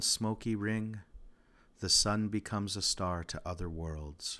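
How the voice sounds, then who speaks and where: Bright and sharp in tone, this voice unfolds fairly slowly. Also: man. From Regina, Saskatchewan, Canada. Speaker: podcast host and poet. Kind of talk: poem reading, Cree then English, with commentary. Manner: measured, rhythmic, performed delivery of poetry.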